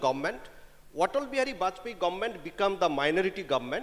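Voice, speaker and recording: With a Bengali accent, a man speaks fairly quickly at a high pitch over noticeable background noise. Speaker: panelist at HR conclave. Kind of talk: panel discussion. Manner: code-switching Bengali and English.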